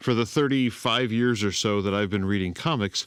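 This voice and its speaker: At a moderate pace, a man talks in a fairly low voice with ordinary pitch variation. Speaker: comics podcast host. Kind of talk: podcast monologue. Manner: quiet, subdued.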